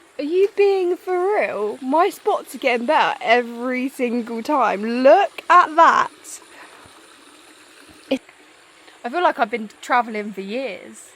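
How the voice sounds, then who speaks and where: In a northern English accent, a woman speaks at a very slow pace and a high pitch with very wide pitch swings and long, frequent pauses, over noticeable background noise. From northern England. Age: 20s. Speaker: travel vlogger. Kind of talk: casual vlog chat. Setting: outdoors. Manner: animated.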